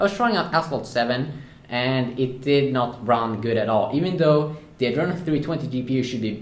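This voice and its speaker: Amid audible room echo, a man races along at a very fast pace with medium pitch and ordinary pitch variation. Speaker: tech reviewer. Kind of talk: product review. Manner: hesitant, many filler sounds.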